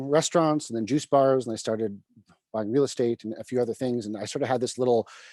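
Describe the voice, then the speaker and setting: In a dry, close recording with no echo, a man with a dark, mellow tone speaks very fast with ordinary pitch variation. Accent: Canadian. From Canada, Vancouver. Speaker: private equity CEO. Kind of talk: interview on live video call. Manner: halting with many fillers.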